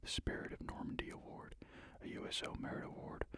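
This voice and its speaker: A man whispers at a fairly quick pace. Noticeable background noise sits behind him. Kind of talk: ASMR reading for sleep. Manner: soft-spoken, calming.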